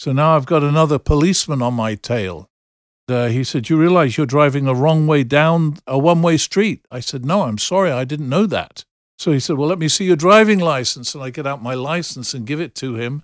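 The voice has an English accent and ordinary pitch variation at a fairly quick pace. The recording is very clean, with a silent background. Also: man, fairly high pitch for a man. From England. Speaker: pastor. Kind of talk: storytelling.

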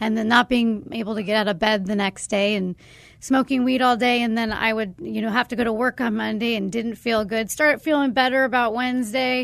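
With an American accent, a woman speaks at a fairly high pitch and with fairly even intonation in a normal speaking voice. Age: 30s. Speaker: sober living executive director. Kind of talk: testimony. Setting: studio.

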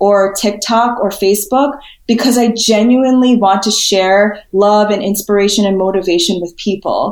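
Using a normal speaking voice, a woman with an American accent talks at a moderate pace at a fairly high pitch with ordinary pitch variation. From New York City area (Queens, suburbs). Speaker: spiritual healer and motivational speaker. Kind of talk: podcast interview.

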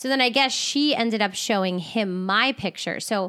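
A woman speaks in a South Jersey accent in a very clean recording with a silent background. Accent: Philadelphia-area South Jersey. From South Jersey, near Philadelphia. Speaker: podcast co-host. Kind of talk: casual chat.

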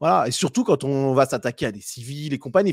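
A man talks at a fairly high pitch. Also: dry, close sound with no echo, very clean recording, silent background. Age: 30s. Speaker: YouTube political commentator. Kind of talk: debate interview.

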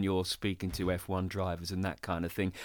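On a very clean recording with a silent background, a man talks with a southern English accent. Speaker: podcast host. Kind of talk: interview; scripted narration.

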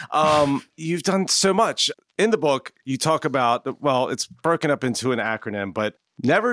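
On a very clean recording with a silent background and a dry, close sound with no echo, a man with an unremarkable speaking voice talks fairly slowly at a fairly high pitch with lively intonation. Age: 40s. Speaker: podcast host. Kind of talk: casual interview.

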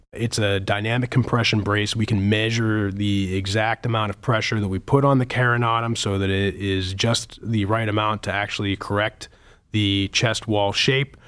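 Speech in an American accent, delivered in a flat monotone at a moderate pace. The recording is very clean, with a silent background. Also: man, fairly low pitch for a man. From Pittsburgh, Pennsylvania. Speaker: pediatric surgeon. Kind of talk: medical interview.

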